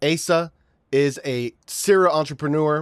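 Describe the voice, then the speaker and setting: A man with an unremarkable speaking voice, fairly high pitch and fairly even intonation, in a very clean recording with a silent background. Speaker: finance coach, podcast host. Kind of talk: podcast interview host.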